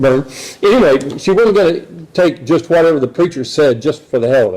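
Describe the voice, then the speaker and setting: A man with an American accent, dark, mellow tone and lively intonation. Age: 70s. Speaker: speaker at atheist meetup. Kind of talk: personal testimony talk. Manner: halting, many fillers.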